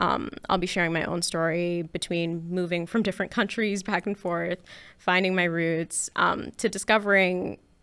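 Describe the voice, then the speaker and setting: A woman with a Canadian accent speaks at a fairly low pitch, moderate pace and shaky voice. Her intonation is monotone and flat in a very clean recording with a silent background. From Canada. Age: 20s. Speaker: podcast host. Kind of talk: personal monologue. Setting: studio. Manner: hesitant with fillers.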